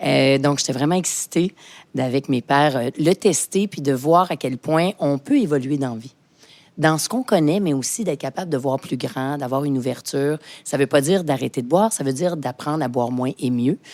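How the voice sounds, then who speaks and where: A woman speaks at a moderate pace with a very deep, low pitch, an animated tone and ordinary pitch variation, recorded with a dry, close sound and no echo. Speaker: sommelier and entrepreneur. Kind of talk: interview conversation.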